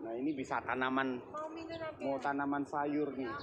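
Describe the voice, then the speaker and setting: Noticeable background noise sits behind this recording. A man talks at a moderate pace in a monotone, flat intonation. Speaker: vlogger. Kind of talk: casual vlog chat.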